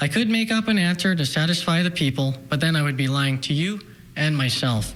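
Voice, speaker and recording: Speaking at a fairly quick pace with a Canadian accent, a man uses a normal speaking voice that sits fairly high in pitch. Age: 20s. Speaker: mayoral candidate. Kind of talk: political speech. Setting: TV studio.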